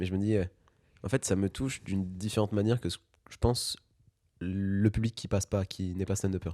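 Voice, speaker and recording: A man's fairly low, dark, mellow voice at a fairly quick pace, fairly even in intonation and broken by long, frequent pauses, dry and close with no echo on a very clean recording with a silent background. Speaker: podcast host and stand-up comedian. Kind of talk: casual interview chat. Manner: fast.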